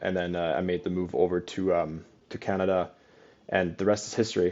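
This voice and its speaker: A man speaks with a slight German accent at a very deep, low pitch. His pace is fairly quick and his intonation monotone and flat. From Germany (Cologne). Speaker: real estate company president. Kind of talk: podcast interview.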